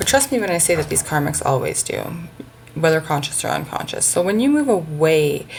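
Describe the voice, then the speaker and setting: The speech comes at a very fast pace. Noticeable background noise runs underneath it. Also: woman. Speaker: psychic tarot reader. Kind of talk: tarot reading to camera. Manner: hesitant, many fillers.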